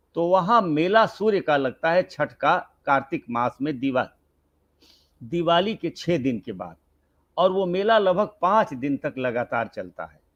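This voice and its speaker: Over a quiet background, a high-pitched man speaks with lively intonation and big swings in loudness, the sound dry and close with no echo. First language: Bhojpuri (speaking Hindi). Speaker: senior writer and professor. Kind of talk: interview conversation.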